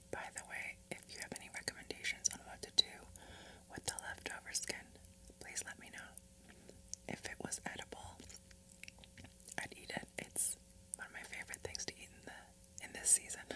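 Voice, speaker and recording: Whispering at a moderate pace, a woman leaves long, frequent pauses. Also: big swings in loudness. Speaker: ASMR content creator. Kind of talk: ASMR eating video, casual talk to camera. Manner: light whispering, soft-spoken. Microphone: studio mic.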